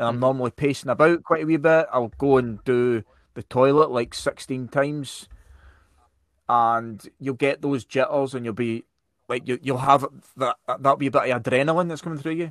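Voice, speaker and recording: With a Scottish accent, a man talks at medium pitch and moderate pace with fairly even intonation, in a very clean recording with a silent background and a dry, close sound free of echo. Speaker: podcast host. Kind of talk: casual chat.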